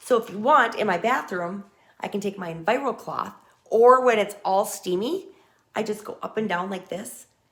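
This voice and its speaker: A woman's ordinary speaking voice, fairly high in pitch, with ordinary pitch variation at a moderate pace. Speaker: direct sales consultant. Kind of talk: product demo.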